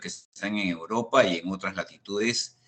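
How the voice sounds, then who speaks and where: A man's bright, sharp tone in a Peruvian accent, with ordinary pitch variation. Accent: unmistakable Peruvian. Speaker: risk management expert. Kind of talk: online panel discussion. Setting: video call.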